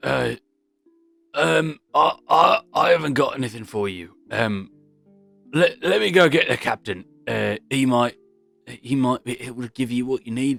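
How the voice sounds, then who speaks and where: A man puts on a raspy character voice at a medium pitch, speaking at a moderate pace. He leaves long, frequent pauses, and faint music plays in the background. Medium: actual play. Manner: hesitant, stammering.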